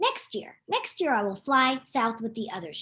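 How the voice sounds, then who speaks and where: A woman puts on a character voice. It sits fairly high and moves at a moderate pace. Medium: read story.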